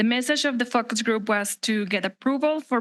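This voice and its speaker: A woman with a Spanish accent at a moderate pace, set against a quiet background. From Mexico. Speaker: resident speaking at public comment. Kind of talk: public comment speech. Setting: city council meeting. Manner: formal.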